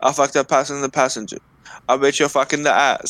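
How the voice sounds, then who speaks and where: Fairly quick pace and medium pitch from a man with a plain, everyday voice. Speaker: podcast co-host. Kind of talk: casual banter. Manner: teasing, cocky.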